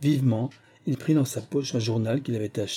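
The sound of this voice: The voice reads without strain. It is an unforced reading voice.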